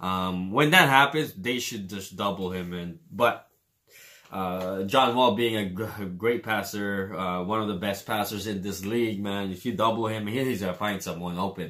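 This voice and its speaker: A man with a Filipino accent talks at a moderate pace in a fairly low, bright, sharp voice with ordinary pitch variation, on a very clean recording with a silent background. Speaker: sports reaction youtuber. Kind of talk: casual commentary. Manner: hesitant, many fillers.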